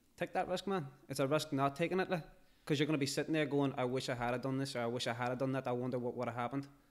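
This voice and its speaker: A man with a Derry accent talks very fast in a fairly high pitch. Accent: Derry accent, speaks as he raps. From Northern Ireland, Derry. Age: young. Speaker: rapper. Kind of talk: podcast interview. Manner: animated.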